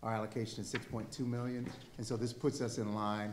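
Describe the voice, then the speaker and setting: A man speaks with monotone, flat intonation. Audible room echo and light background noise surround him. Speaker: city staff official; city official presenting to council. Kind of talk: staff report to council. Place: meeting room. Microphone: podium.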